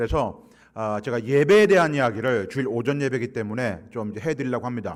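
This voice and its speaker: A man rattles off his words very fast, his intonation lively. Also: medium pitch for a man. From Gyeongsang region, South Korea. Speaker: guest pastor, church consultant. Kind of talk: sermon. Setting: church.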